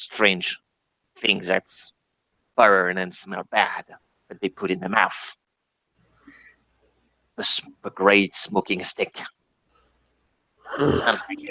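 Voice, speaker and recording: In a put-on character voice, a man speaks at a fairly slow pace with fairly low pitch and long, frequent pauses. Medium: actual play. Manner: hesitant, sniffing, mm-ing.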